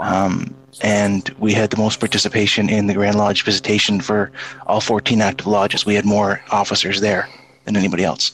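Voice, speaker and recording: A man speaks in a fairly low pitch at a moderate pace. His intonation is monotone and flat, and his loudness stays very even. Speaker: Freemason guest. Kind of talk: casual chat.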